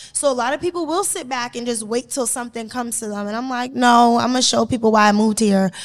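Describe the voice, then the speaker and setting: A loud woman with an American accent speaks very fast in a high pitch, with hardly any pauses and ordinary pitch variation. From Boston. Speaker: media personality and influencer. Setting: studio with live audience. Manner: loud, confident.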